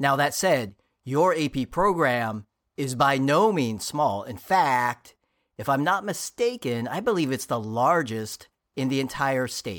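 Fairly high in pitch, a man speaks in a normal speaking voice with lively intonation. He talks at a fairly slow pace on a very clean recording with a silent background. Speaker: podcast host. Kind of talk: scripted intro then interview. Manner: warm, upbeat.

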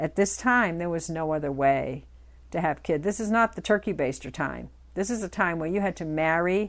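A woman speaks in an ordinary speaking voice with lively intonation. The recording is very clean, with a silent background. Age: 60s. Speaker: podcast host and author. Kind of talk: storytelling.

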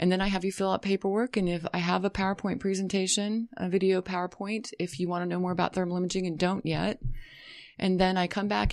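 Here a woman speaks at a medium pitch. She has a normal speaking voice. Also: quiet background. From western US, military family. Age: 40s. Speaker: thermal imaging practitioner and massage therapist. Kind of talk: interview.

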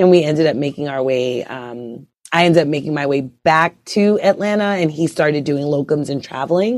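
A woman with a very deep, low pitch and a New York accent, at a moderate pace, on a very clean recording with a silent background. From Brooklyn, New York. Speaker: OB/GYN physician. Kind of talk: interview. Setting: podcast interview.

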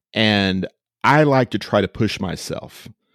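The speaker has an American accent and ordinary pitch variation. The sound is dry and close with no echo, on a very clean recording with a silent background. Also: man. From Central Texas (Austin). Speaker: preacher. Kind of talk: casual interview chat.

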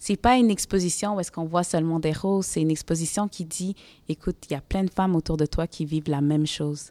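Speaking at a very fast pace, a woman with a fairly low pitch and ordinary pitch variation comes through in a dry, close sound with no echo, on a very clean recording with a silent background. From Quebec, Montreal (Côte-des-Neiges). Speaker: lawyer and social activist. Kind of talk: casual conversation during museum visit.

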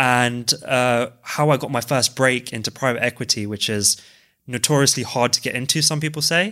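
A man with a London accent speaks at a moderate pace and medium pitch with ordinary pitch variation. The recording is very clean, with a silent background. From West London, England. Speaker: co-founder, finance professional. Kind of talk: casual chat.

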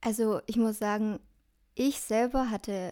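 The recording is very clean, and the background is silent. A woman talks in a mid-range pitch. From Germany, Dillingen. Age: 20s. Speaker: educator and social work student. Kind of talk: interview.

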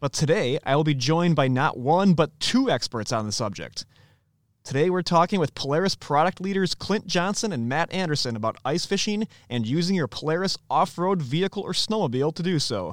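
A man with an American accent speaks at a fairly quick pace in a normal speaking voice, his pitch fairly high and his intonation lively, on a very clean recording with a silent background. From US Midwest. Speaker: podcast host. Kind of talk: podcast interview; scripted intro.

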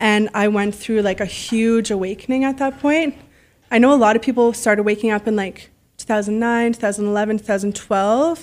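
A woman's fairly high voice with a Canadian accent, fairly even intonation and a moderate pace. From Canada, Ottawa. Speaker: lifestyle influencer. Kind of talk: interview.

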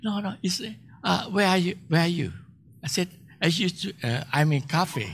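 A man with a fairly high pitch and vocal fry speaks at a fairly slow pace. The recording is very clean, with a silent background. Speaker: guest preacher. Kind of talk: sermon. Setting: church.

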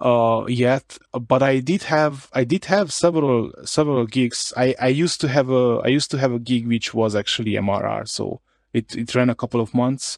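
Delivered at a moderate pace with hardly any pauses, this voice has a Hungarian accent and a dry, close sound with no echo in a very clean recording with a silent background. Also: man, medium pitch for a man, ordinary pitch variation. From Romania, Harghita county (Hungarian-speaking). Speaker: indie developer, entrepreneur. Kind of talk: interview. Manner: repeats words, halting.

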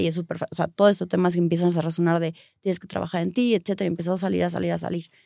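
Delivered at a very fast pace with fairly even intonation, the voice has a dry, close sound with no echo. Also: woman. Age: 30s. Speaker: lawyer and acrobat. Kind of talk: casual chat.

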